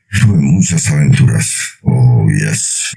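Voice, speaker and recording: Very deep, low pitch in a man's put-on character voice, with very wide pitch swings and a fairly slow pace. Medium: read story. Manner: jovial, hearty.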